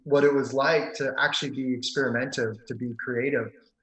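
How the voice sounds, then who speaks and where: A man's medium-pitched, fairly quick delivery in an unremarkable speaking voice. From Maryland. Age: 30s. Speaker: pianist and piano teacher. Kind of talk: podcast interview.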